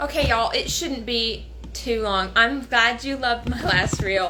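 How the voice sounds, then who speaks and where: Against noticeable background noise and audible room echo, a woman with an American accent speaks at a fairly slow pace. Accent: slight southern accent, comes out sometimes. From US South, North Carolina. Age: 20s. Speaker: home canning content creator. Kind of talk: casual live-stream cooking demonstration. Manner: chatty, casual with fillers.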